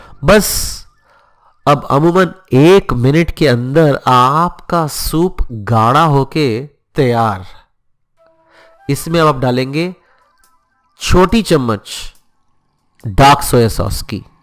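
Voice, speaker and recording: A man with a fairly high voice speaks very slowly with lively intonation, leaving long, frequent pauses as music plays in the background. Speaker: cooking show host. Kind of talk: cooking tutorial.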